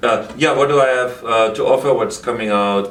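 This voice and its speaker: With a German accent, a man speaks in a fairly even intonation over noticeable background noise and audible room echo. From Germany. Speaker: actor and bodybuilder. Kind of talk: casual interview chat.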